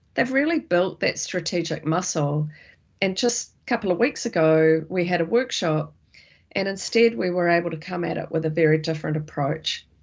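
A woman speaks in a New Zealand accent at a moderate pace. Her pitch is fairly low and her intonation lively. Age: 50s. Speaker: futurist and company director. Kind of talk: interview conversation.

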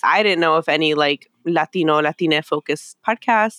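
This woman has an ordinary speaking voice. Her pitch is fairly low and varies in an ordinary way. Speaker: podcaster. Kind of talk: casual interview chat.

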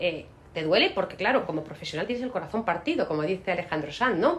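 A woman talks at a very fast pace. Her pitch swings very widely over noticeable background noise. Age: 50s. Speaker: law firm managing partner. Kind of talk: interview.

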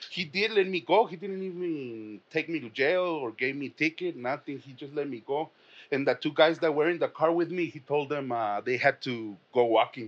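Against a quiet background, a speaker with a Spanish accent talks at a moderate pace, with lively intonation and big swings in loudness. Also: man, fairly high pitch for a man. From Mexico. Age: 30s. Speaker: comedian. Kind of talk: casual chat.

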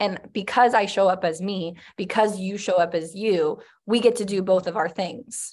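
At a moderate pace and medium pitch, a woman with an ordinary speaking voice talks with fairly even intonation. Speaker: co-host. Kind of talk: casual conversation.

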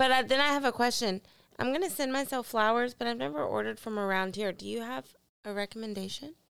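This woman talks at a very fast pace with lively intonation and a fairly high pitch. The recording is very clean, with a silent background. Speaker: podcast co-host. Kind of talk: casual chat.

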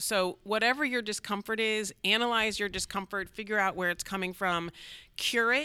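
Here is a woman with a normal speaking voice and a medium pitch. She talks at a moderate pace with ordinary pitch variation. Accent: American. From US Midwest, Cleveland, Ohio. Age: 50s. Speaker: water department executive director. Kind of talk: interview.

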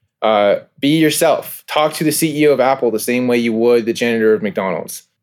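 A man with an American accent and an unremarkable speaking voice, medium-pitched and fairly quick. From California. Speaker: minor league baseball team co-owner. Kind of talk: interview.

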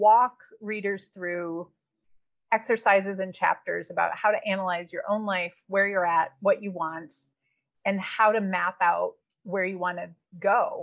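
A normal speaking voice, fairly slow, with fairly even intonation. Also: woman, medium pitch for a woman. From Wisconsin, small town. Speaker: developmental editor and writing coach. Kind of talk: interview.

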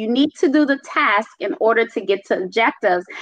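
A woman speaks with a Caribbean accent and lively intonation. The sound is dry and close, with no echo. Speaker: speaker and self-love advocate. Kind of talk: casual panel chat. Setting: live online video stream.

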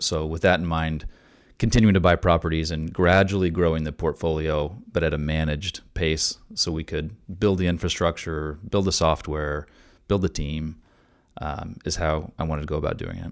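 At a moderate pace, a man with an American accent and a very deep, low pitch speaks with fairly even intonation in a very clean recording with a silent background. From Oklahoma (Tulsa). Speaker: real estate investor. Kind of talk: interview.

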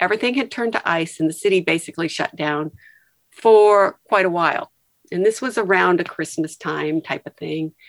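In a dry, close recording with no echo, a woman with a normal speaking voice talks at a fairly quick pace, fairly low in pitch with ordinary pitch variation. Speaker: retired nurse. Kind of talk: casual chat.

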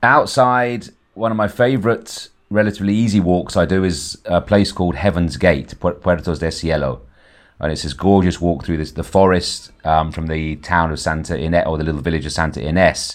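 A man with an English accent speaks fairly quickly. His pitch is very deep and low. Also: ordinary pitch variation. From Ibiza, Spain, to English parents. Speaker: tour guide and entrepreneur. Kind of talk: interview. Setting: phone or video call. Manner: halting.

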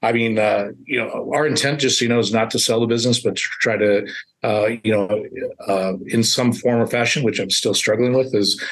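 Fairly even intonation marks an unremarkable speaking voice. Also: man. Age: 50s. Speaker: print shop owner. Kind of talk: podcast interview.

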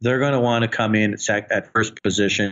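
The man's pitch is medium, his intonation fairly even. He has a plain, everyday voice. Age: 50s. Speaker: real estate investor. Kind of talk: interview. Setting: phone call.

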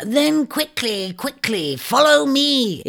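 In a put-on character voice, a woman hisses her words in a high voice at a very slow pace. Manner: hissing, urgent.

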